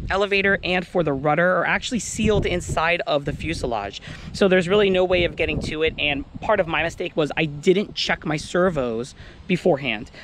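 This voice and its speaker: A high-pitched man at a moderate pace with lively intonation, over noticeable background noise. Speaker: RC plane hobbyist vlogger. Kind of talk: casual vlog talk to camera. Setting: outdoors at flying field.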